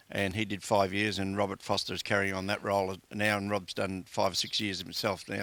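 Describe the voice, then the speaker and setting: With an Australian accent, a man speaks at a fairly quick pace in a fairly low pitch with a bright, sharp tone. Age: 60s. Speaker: community sports administrator. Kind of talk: interview. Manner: hesitant, many fillers.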